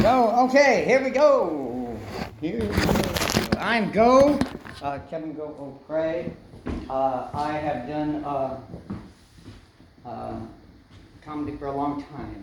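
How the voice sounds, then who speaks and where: A man speaks very slowly with a fairly high pitch, very wide pitch swings, big swings in loudness and long, frequent pauses. The room echo is audible and background noise is noticeable. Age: 60s. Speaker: comedian. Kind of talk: stand-up; casual chat. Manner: halting.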